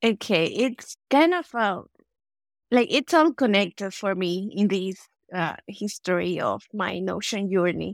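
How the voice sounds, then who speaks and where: A woman speaks with a Spanish accent at medium pitch. The sound is dry and close, with no echo. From El Salvador. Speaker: productivity tool consultant. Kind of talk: interview. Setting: remote call.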